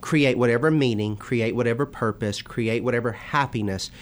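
A man with a normal speaking voice, medium in pitch, with ordinary pitch variation. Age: 20s. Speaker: minister and youth teacher. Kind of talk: religious discussion.

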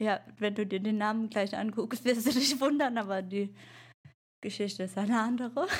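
A woman's fairly high, somewhat breathy voice at a moderate pace. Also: ordinary pitch variation. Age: 30s. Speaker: podcast co-host, mother. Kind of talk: casual chat. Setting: video call.

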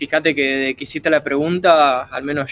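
Fairly high-pitched, a man speaks in a monotone, flat intonation at a moderate pace. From Argentina. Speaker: martial arts practitioner. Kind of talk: casual chat.

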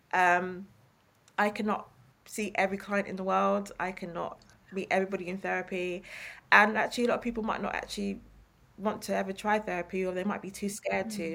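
A woman with an East London accent, talking at a very fast pace. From East London, England. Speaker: therapist and author. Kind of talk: interview conversation.

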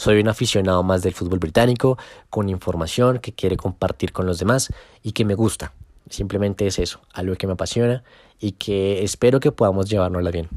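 A plain, everyday voice from a man at a fairly quick pace with ordinary pitch variation, on a very clean recording with a silent background. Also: fairly low pitch for a man. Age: 20s. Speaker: football social media account owner. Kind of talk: casual podcast monologue.

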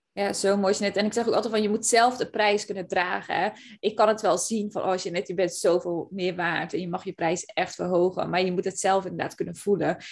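In an ordinary speaking voice, a woman talks at a medium pitch and a fairly quick pace, with hardly any pauses, fairly even intonation and a quiet background. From Zeeland, Netherlands. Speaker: podcast host and business coach. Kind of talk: casual chat.

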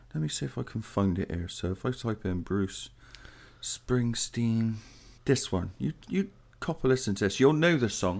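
A man talks with an English accent and very wide pitch swings. The recording is very clean, with a silent background. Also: medium pitch for a man, moderate pace. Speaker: podcast co-host. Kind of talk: casual chat. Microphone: new mic.

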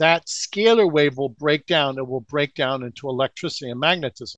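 At a moderate pace, a man has an ordinary speaking voice, pitched fairly high with ordinary pitch variation. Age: 60s. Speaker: alternative energy researcher. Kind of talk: interview.

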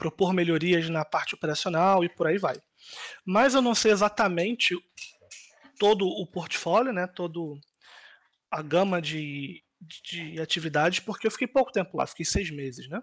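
A man with a high-pitched voice speaks at a moderate pace with long, frequent pauses, in a dry, close recording with no echo. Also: ordinary pitch variation. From Rio de Janeiro, Brazil (Ilha do Governador). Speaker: cybersecurity manager and doctoral student. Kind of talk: interview.

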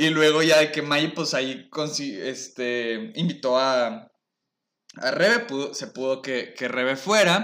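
This man's voice is fairly high, with a bright, sharp tone. He speaks very slowly with lively intonation. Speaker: podcast host. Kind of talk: casual chat.

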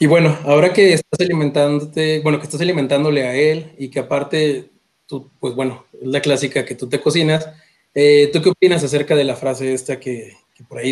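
Using a normal speaking voice, a man with a fairly high pitch moves at a fairly quick pace, his intonation fairly even. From Mexico, La Laguna (Torreón). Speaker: podcast co-host. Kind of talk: casual chat.

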